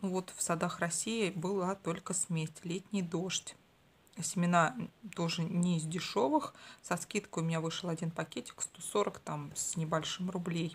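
A woman talks at a fairly slow pace in a somewhat breathy, fairly low voice with fairly even intonation. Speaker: gardening vlogger. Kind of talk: casual vlog chat. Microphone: phone near.

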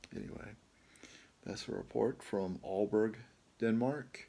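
His pitch shifts in an ordinary way. The man talks fairly slowly. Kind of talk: casual vlog chat. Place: home room. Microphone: phone near.

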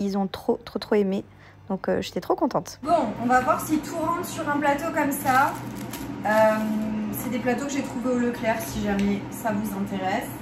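A woman talks with a high pitch at a moderate pace. Noticeable background noise sits behind her voice. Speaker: cooking YouTuber. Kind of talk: cooking tutorial. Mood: cheerful, enthusiastic.

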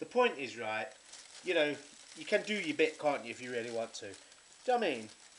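Very wide pitch swings from a male speaker, with light background noise behind him. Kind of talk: casual cooking tutorial chat. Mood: chatty, mild rant. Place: kitchen. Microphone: phone near.

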